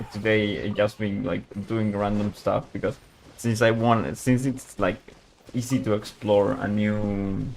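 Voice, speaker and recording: Over noticeable background noise, a man talks at a fairly slow pace, his fairly low pitch held in fairly even intonation. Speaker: gaming streamer. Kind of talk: casual live stream chat. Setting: home at night, live stream. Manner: speaking quietly; halting, repeats words.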